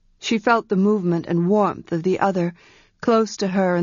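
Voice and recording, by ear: Natural-voiced reading aloud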